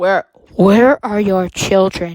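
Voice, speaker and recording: Put-on character voice from a woman at medium pitch, dry and close with no echo. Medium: read story. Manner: curt, sassy.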